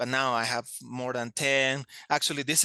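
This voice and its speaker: A man talks at a moderate pace with a Spanish accent and fairly even intonation. His bright, sharp tone sounds dry and close, with no echo. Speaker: language teacher. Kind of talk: interview. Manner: hesitant, many fillers.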